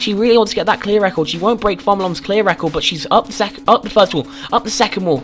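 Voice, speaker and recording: An animated tone at a very fast pace over noticeable background noise. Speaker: game show commentator. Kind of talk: live commentary.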